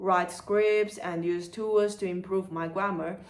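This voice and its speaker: A woman with a Chinese accent speaks very slowly at a medium pitch, with noticeable background noise behind her. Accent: Chinese accent, non-native English. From China, Chengdu (southwest). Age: 30s. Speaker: content creator and museum worker. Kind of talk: scripted channel introduction.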